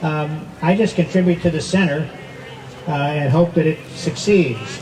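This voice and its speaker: A man speaks fairly slowly. Noticeable background noise runs throughout. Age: 80s+. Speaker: masters diver being honored. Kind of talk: dedication speech. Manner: halting.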